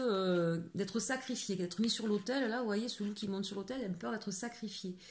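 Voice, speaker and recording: A woman speaks at medium pitch with ordinary pitch variation and a somewhat breathy quality. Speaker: tarot card reader. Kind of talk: tarot reading guidance. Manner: fast at times; hesitant, many fillers.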